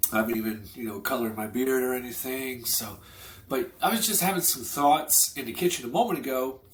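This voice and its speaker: A man's medium-pitched voice at a moderate pace with lively intonation. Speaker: online business vlogger. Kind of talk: casual vlog monologue. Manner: conversational, loose with fillers.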